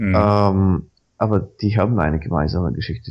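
This man has a fairly low pitch, ordinary pitch variation, and a Bulgarian accent. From Bulgaria, Sofia. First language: Bulgarian (speaking German). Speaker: Wikipedia volunteer. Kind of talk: casual interview. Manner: animated.

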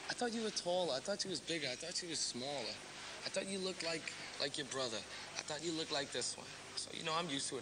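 A man speaks at a very fast pace while noticeable background noise carries on. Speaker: interviewee. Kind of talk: interview answer. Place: hall.

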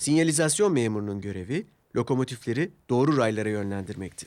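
At a fast pace, a man at medium pitch speaks with lively intonation and a slightly mellow tone.

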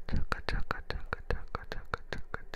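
The voice is whispering. Noticeable background noise comes through behind it. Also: man. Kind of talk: ASMR whispering video with tongue twisters and ear sounds. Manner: whispered, soft-spoken.

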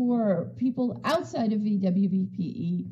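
Audible room echo surrounds a woman whose medium-pitched voice has a dark, mellow tone and ordinary pitch variation.

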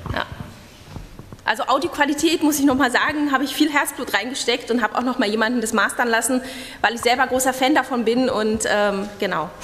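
Light background noise sits behind a woman speaking at a high pitch. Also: ordinary pitch variation, fairly quick pace. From East Germany. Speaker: radio journalist; conference presenter. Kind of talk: conference talk; talk; audience Q&A answer. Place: hall. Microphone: podium.

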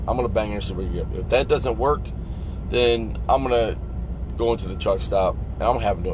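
Noticeable background noise surrounds a man speaking at a fairly quick pace in a dry sound with no echo. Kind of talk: casual vlog rant. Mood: annoyed, frustrated. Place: car. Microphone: phone near.

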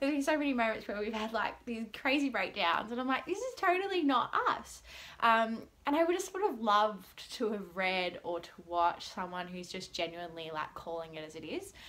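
In an Australian accent, a woman speaks at a fairly quick pace with an upbeat tone, fairly high pitch and very wide pitch swings. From Melbourne, Australia. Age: 20s. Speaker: vlogger. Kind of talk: casual vlog monologue to camera. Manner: rambling, chatty; upbeat, excitable. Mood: cheerful, laughing often. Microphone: phone near.

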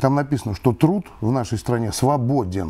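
Somewhat breathy, with a dark, mellow tone, a man talks at a moderate pace with lively intonation. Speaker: retired colonel. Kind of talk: interview. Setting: studio. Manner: formal. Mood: calm, earnest argument. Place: studio. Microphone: lapel.

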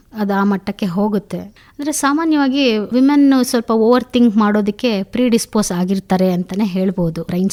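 In a very clean recording with a silent background and a dry, close sound with no echo, a woman with a normal speaking voice talks at a fairly high pitch with lively intonation. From Hassan, Karnataka, India. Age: young. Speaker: psychologist and columnist. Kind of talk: radio interview.

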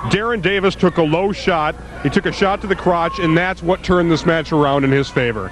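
Music plays behind a man speaking at a fairly quick pace in a high pitch with ordinary pitch variation. His loudness stays very even, and the sound is dry with no echo. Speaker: pro wrestling commentator. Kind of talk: live wrestling match commentary. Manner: analytical, bantering. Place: hall.

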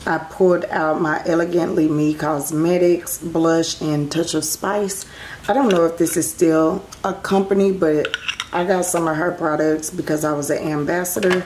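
Fairly even intonation comes through over noticeable background noise. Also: woman. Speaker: beauty vlogger. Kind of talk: casual chat. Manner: casual, chatty.

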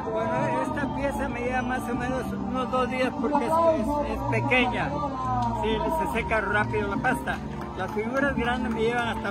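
A man at a moderate pace, dry sound with no echo, loud music in the background. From Mexico. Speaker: retired engineer and craftsman. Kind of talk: interview answer. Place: market. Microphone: phone near.

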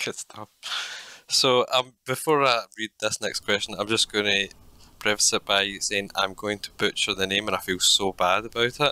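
In a Scottish accent, a man speaks at a moderate pace with fairly low pitch and fairly even intonation. His tone is bright and sharp, the sound dry and close with no echo, on a very clean recording with a silent background. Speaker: podcast co-host. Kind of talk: interview.

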